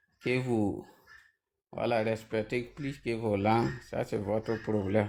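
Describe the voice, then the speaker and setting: Speaking very slowly, a man uses a medium pitch and a fairly even intonation. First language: Mooré (speaking French). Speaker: panel debate participant. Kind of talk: online panel debate.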